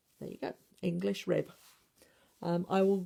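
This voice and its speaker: A woman speaks at a fairly low pitch. Her tone is dark and mellow. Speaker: machine knitting teacher. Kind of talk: tutorial. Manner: tends to mutter, trying to enunciate. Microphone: iPad mic close to face.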